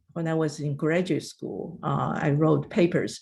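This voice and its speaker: Speech moves at a fairly slow pace in a non-native accent. The voice is somewhat breathy. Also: woman, very clean recording, silent background. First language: not English. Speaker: retired federal agency director. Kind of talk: career advice talk. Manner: halting.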